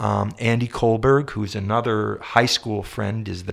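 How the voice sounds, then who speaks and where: An ordinary speaking voice from a man, medium in pitch, at a moderate pace. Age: 50s. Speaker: singer-songwriter and composer. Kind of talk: interview conversation. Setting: shared office space.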